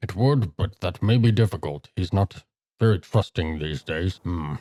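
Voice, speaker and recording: At a moderate pace, a man uses a put-on character voice pitched very deep and low. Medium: actual play. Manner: measured, formal.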